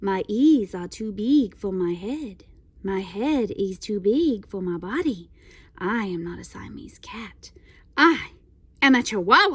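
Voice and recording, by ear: Someone puts on a character voice in a Spanish accent, speaking at a fairly slow pace. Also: woman, medium pitch for a woman.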